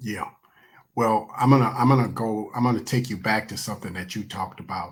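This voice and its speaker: With an American accent, a man has a normal speaking voice, a fairly low pitch and fairly even intonation. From Michigan, Willow Run. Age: 60s. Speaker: guest. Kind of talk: casual chat.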